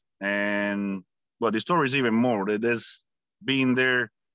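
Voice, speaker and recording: With a Cuban accent, a man speaks at medium pitch and a moderate pace, his tone bright and sharp and his intonation fairly even, in a dry, close recording with no echo and a quiet background. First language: Spanish. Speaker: Cuban-born US army veteran and political commentator. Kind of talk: interview conversation.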